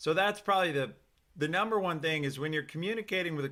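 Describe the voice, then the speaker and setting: Loud and bright with a sharp tone, a man's fairly high voice shows ordinary pitch variation in a very clean recording with a silent background. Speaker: career coach hosting a live stream. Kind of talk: live stream talk with chat. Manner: enthusiastic.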